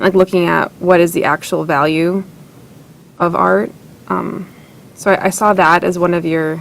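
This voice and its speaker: A woman's fairly low-pitched voice with fairly even intonation, broken by long, frequent pauses. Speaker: writing workshop participant. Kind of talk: workshop feedback discussion. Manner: fast; hesitant, with fillers.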